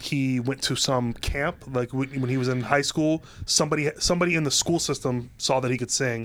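With an American accent and a normal speaking voice, a man talks at a fairly quick pace, his loudness very even and his intonation fairly even. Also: medium pitch for a man, hardly any pauses. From Ohio. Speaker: screenwriter and TV writer. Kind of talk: casual chat. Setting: studio.

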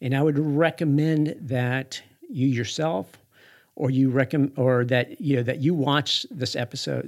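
The voice belongs to a man and sits at a medium pitch. Its rise and fall is ordinary. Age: 50s. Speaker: podcast host and running store marketing director. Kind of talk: solo podcast monologue. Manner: halting, many fillers.

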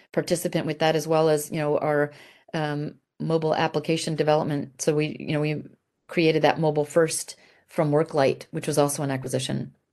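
A woman with an American accent speaks at a fairly quick pace with a very deep, low pitch. Her intonation is monotone and flat, with a quiet background. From grew up in Italy as a US military child. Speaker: army general and business executive. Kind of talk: interview. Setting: video call.

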